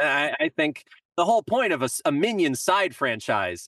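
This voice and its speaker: A man's voice with vocal fry swings very widely in pitch, recorded dry and close with no echo. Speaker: composer and songwriter. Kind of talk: casual chat.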